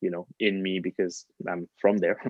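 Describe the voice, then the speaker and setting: This speaker has a French accent. The sound is dry and close, with no echo. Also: man. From France. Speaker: pianist. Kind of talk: casual chat. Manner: halting.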